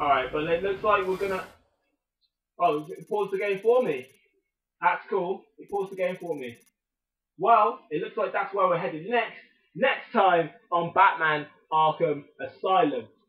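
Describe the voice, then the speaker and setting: With a British accent, a man talks at a fairly slow pace and high pitch with ordinary pitch variation, big swings in loudness, and long, frequent pauses. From Britain. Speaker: gaming YouTuber. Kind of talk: let's play commentary. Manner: animated.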